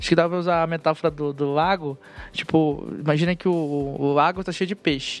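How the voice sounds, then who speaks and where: Over music in the background, a man speaks at a fairly quick pace. His intonation is monotone and flat. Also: fairly high pitch for a man. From northern Brazil. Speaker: software developer on a search team. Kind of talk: casual technical panel chat.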